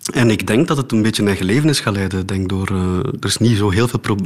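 There is noticeable background noise as a man talks at a fairly quick pace. His voice is fairly low, with ordinary pitch variation. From Flanders, Oudenaarde. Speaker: philosopher and theatre maker. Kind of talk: radio interview. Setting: home studio, remote.

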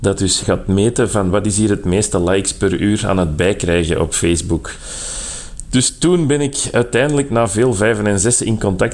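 A man talking at a moderate pace. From Flanders. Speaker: fact-checker. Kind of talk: phone interview.

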